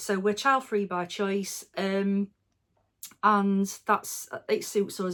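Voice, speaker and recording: A woman talks in a flat monotone at a medium pitch and a fairly slow pace. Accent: English Midlands. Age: 40s. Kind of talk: casual Q&A monologue. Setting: at home. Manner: relaxed, many fillers.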